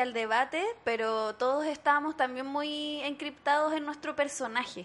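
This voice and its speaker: A woman speaks at a high pitch. Her pace is moderate and her pitch variation ordinary. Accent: Chilean. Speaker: podcast host and teacher. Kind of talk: casual chat.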